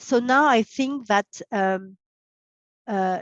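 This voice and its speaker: A woman with a French accent speaks at a very slow pace and fairly high pitch. The sound is dry and close with no echo, and the background is quiet. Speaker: pathologist. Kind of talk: expert interview. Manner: halting, many fillers.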